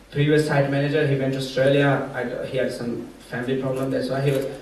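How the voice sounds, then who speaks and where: Speaking fairly quickly with a Pashto accent, a man with a fairly high voice is heard amid audible room echo and noticeable background noise. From Afghanistan. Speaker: sport-for-development site manager. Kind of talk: conference panel talk. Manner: halting.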